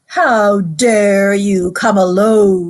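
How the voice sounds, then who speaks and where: A woman puts on a character voice. Her pitch sits in the medium range. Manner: terrible, menacing.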